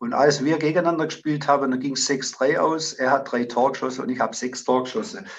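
A man with a plain, everyday voice talks at a fairly quick pace with hardly any pauses. His pitch is fairly high with ordinary variation. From Zimmern, Baden-Württemberg, Germany. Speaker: amateur football coach. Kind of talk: interview.

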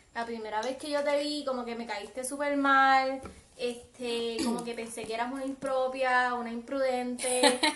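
A woman speaks at a fairly slow pace in a high pitch. Audible room echo surrounds her voice. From Puerto Rico, west (Aguadilla). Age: 20s. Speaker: podcast co-host, host's cousin. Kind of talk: casual chat. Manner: animated.

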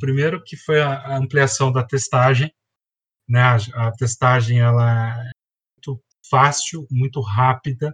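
At a fairly slow pace, someone talks in an unremarkable speaking voice with fairly even intonation. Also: man. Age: 40s. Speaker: biology teacher. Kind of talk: educational podcast explanation.

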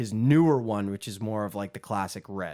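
Recorded very cleanly against a silent background, a man with a fairly low pitch speaks at a moderate pace. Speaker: podcast co-host. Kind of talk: casual chat. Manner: animated.

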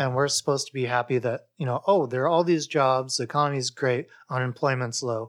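In an ordinary speaking voice with an American accent, a man talks at a fairly quick pace and medium pitch with fairly even intonation, hardly any pauses, and a dry, close sound with no echo. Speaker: podcast host. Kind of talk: casual chat.

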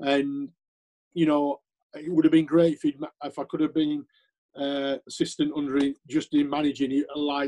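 Speaking with a Sheffield accent, a man with a fairly high pitch talks at a moderate pace in a monotone, flat delivery, and the sound is dry and close with no echo. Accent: Yorkshire (Sheffield) English. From Yorkshire, Sheffield. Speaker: former footballer and scout. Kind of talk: interview.

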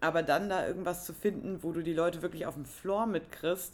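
Her pitch fairly low and her intonation fairly even, a woman talks in an ordinary speaking voice. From northern Germany. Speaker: podcast co-host. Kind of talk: casual chat.

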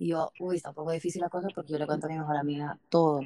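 The voice is monotone, with flat intonation. The sound is dry and close, without echo. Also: woman. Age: 20s. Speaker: podcast host. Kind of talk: casual chat.

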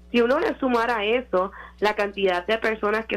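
A woman with an ordinary speaking voice talks at a moderate pace. Her pitch is fairly high and her intonation fairly even. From Puerto Rico. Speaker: media and communications consultant. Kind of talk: radio interview.

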